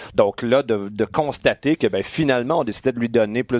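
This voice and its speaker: A man speaks at a medium pitch with a Quebec accent. The sound is dry and close, with no echo. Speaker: wrestling podcast host. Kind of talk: casual chat. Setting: studio.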